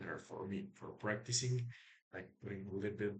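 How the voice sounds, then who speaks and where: A man with a non-native accent sounds somewhat breathy, his intonation fairly even. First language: not English. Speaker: programmer vlogger. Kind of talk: coding screencast. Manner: halting.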